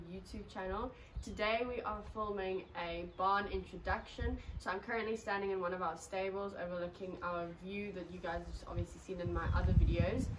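Over noticeable background noise, a woman speaks at a moderate pace with fairly even intonation. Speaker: horse rider vlogger. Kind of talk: casual vlog chat. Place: garage. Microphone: camera far.

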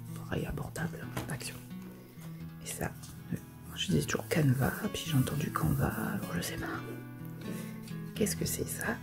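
Clear music plays behind a woman who speaks at a moderate pace with long, frequent pauses. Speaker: crafts YouTuber. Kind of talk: casual talk to camera. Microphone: phone near.

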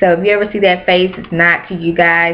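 A woman talks in a fairly low pitch with monotone, flat intonation. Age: 20s. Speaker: beauty and hair vlogger; hair vlogger. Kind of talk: casual vlog monologue. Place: home room. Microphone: webcam.

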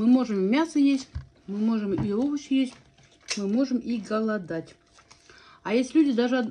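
Light background noise sits under a somewhat breathy woman who leaves long, frequent pauses. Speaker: food vlogger. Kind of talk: casual mukbang chat. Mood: chatty, animated storytelling. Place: home room. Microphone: phone near.

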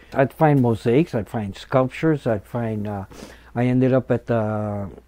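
A man with an American accent and a dark, mellow tone, at a fairly slow pace. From Chicano, California. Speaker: muralist and multimedia artist. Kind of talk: oral history interview answer. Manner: casual, conversational, with hesitations and fillers. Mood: reflective, calm. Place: studio. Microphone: lapel.

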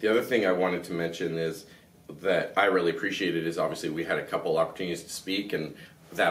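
A man with a Canadian accent, very deep and low in pitch, at a very fast pace with fairly even intonation. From Canada. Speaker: podcast host. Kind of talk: interview. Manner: halting. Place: studio. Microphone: studio mic.

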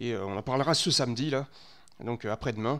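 The man is heard against a quiet background. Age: 30s. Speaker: gaming streamer. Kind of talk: live stream commentary. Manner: halting, many fillers and repetitions. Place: home room. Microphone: headset.

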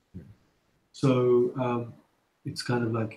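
A man speaks at a very slow pace in a London accent. His voice is somewhat breathy, with a dark, mellow tone. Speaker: filmmaker. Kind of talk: interview. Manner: hesitant, many fillers.

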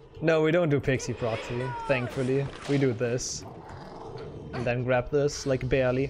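A man speaks at a moderate pace with long, frequent pauses. Noticeable background noise is present. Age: 20s. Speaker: speedrunning streamer. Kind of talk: live gameplay commentary. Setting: home bedroom. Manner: animated. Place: home room.

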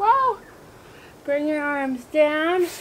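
A woman at a very slow pace with ordinary pitch variation, over light background noise. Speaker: fitness instructor. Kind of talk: workout instruction with counting. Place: garden.

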